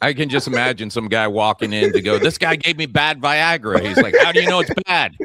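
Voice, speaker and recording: A man with an ordinary speaking voice talks at a fairly quick pace, hardly pausing at all. His pitch is fairly high and his intonation is lively. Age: 40s. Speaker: comedian and podcast host. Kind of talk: casual chat. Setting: studio.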